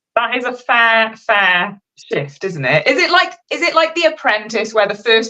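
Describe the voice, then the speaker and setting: With a Welsh accent, a woman speaks in a bright, sharp tone. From Wales. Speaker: fashion designer. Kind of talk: casual chat. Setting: live stream.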